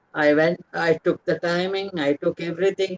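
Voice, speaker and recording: In a Tamil accent, a woman speaks at a fairly low pitch, recorded with a dry, close sound and no echo. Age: 80s+. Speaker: author. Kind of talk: interview talk. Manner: halting.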